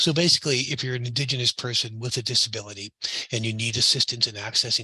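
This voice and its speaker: Bright and sharp in tone, a man's medium-pitched voice races along very fast with fairly even intonation. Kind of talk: conference panel talk. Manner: many fillers and repetitions.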